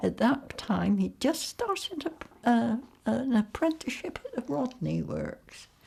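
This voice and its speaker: In a West Country accent, a woman talks at a fairly slow pace. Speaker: interviewee sharing family wartime memories. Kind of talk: oral history interview.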